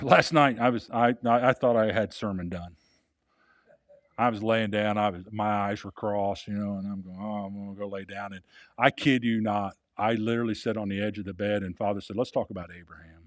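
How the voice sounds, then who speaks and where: A man with a normal speaking voice talks at a fairly quick pace and fairly low pitch, his intonation fairly even but his loudness swinging widely, on a very clean recording with a silent background. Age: 60s. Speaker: pastor. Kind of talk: sermon.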